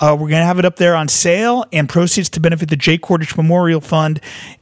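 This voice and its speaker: A man with a high pitch speaks with fairly even intonation, in a dry, close sound with no echo but noticeable background noise. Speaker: podcast host. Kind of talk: show introduction.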